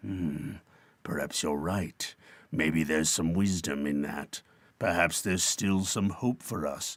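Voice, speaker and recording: In a gruff put-on character voice, a man speaks at a fairly slow pace with a very deep, low pitch. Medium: read story.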